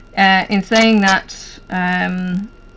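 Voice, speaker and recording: A woman's voice of medium pitch. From Ireland, near Dublin. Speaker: hobby vlogger. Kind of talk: casual chat. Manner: hesitant, many fillers.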